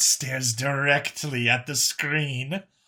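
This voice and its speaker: In a put-on character voice, the speaker goes very slowly on a very clean recording with a silent background. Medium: read story. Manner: dry, casual.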